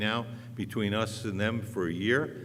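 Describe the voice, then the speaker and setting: Room echo is audible as a man talks in a fairly low pitch. His intonation stays fairly even. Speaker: city council candidate. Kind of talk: candidate debate. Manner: loud; plain-spoken, outspoken.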